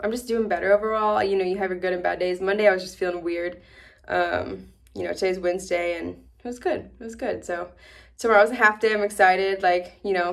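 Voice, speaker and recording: A woman mumbling very fast at a medium pitch, with fairly even intonation and big swings in loudness. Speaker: new veterinarian vlogger. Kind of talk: casual vlog. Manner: mumbling, slurred words; fast, filler-heavy.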